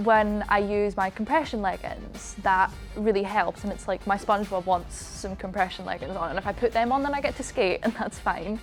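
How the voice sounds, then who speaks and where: A woman at medium pitch and moderate pace, ordinary pitch variation, hardly any pauses, music in the background. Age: young. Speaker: dance student and competitive figure skater. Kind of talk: interview answer. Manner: casual.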